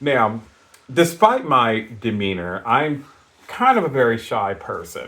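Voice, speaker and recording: At a very slow pace, a man speaks in a medium pitch with lively intonation. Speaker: podcast co-host. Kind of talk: casual chat. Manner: loud.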